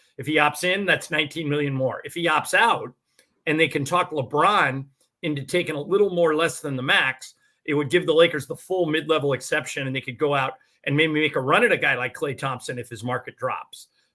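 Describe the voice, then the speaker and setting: A man talks at a fairly quick pace, his pitch fairly high with ordinary variation. He has a plain, everyday voice. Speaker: sports radio play-by-play announcer. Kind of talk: podcast interview answer. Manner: conversational, analytical.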